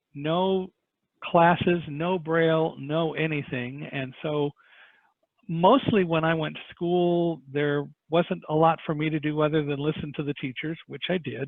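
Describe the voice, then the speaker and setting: With an American accent, a man speaks at a fairly slow pace in an unremarkable speaking voice, pitched fairly high and fairly even in intonation. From Southern California. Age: 60s. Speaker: 9/11 survivor and speaker. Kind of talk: podcast interview. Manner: conversational with filler words.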